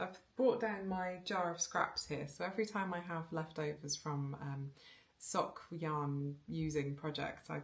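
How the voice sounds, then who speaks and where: A woman with a very deep, low voice speaks somewhat breathily with ordinary pitch variation. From England, moved around (military family), born South Wales. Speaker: knitting podcaster. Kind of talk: casual chat. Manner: hesitant, many fillers and repetitions.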